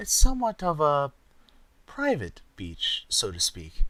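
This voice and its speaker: At a fairly slow pace, a man speaks in a put-on character voice. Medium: read story. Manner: crooning, posh.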